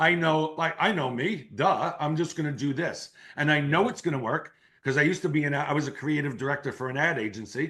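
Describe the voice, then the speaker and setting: Against a quiet background, a man speaks fairly quickly at a fairly high pitch with ordinary pitch variation. His tone is bright, sharp and animated. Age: 60s. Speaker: keynote speaker and marketing entrepreneur. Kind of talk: podcast interview.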